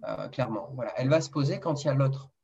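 This is a man speaking. His pitch is fairly high. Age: 30s. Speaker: nurse and male contraception developer. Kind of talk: interview. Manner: hesitant, repeats words.

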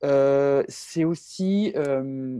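This woman's voice is very deep and low-pitched, with a dark, mellow tone and ordinary pitch variation. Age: 20s. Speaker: bioinformatician and science YouTuber. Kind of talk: interview. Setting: video call. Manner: halting.

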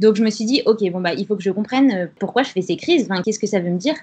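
A woman with a fairly high pitch, ordinary pitch variation and a somewhat breathy quality. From France, Grenoble. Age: 20s. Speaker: freelance content writer sharing her recovery story. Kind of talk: interview testimony.

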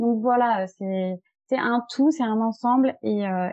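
A woman with an ordinary speaking voice. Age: 30s. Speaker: wealth management advisor. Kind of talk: interview.

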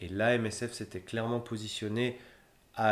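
Monotone, flat intonation runs through this man's speech. He talks at a medium pitch and a moderate pace. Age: 30s. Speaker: humanitarian logistician. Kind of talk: interview. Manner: hesitant, many fillers and repetitions.

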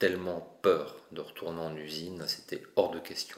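With monotone, flat intonation, a man speaks at a fairly slow pace in a very deep, low pitch. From France, Paris region (Essonne). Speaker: mosaic artist. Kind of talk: interview.

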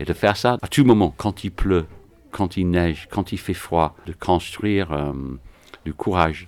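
Very deep, low-pitched male voice at a fairly slow pace, with ordinary pitch variation and long, frequent pauses. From England, Manchester. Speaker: rugby club president. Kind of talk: interview.

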